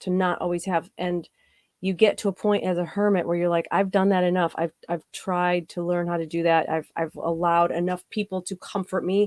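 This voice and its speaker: A woman with an American accent talks fairly quickly in a fairly low, monotone, flat voice, the sound dry and close with no echo on a very clean recording with a silent background. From US Midwest, south of Chicago. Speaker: paranormal show host and psychic reader. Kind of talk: live-stream chat answering viewer comments.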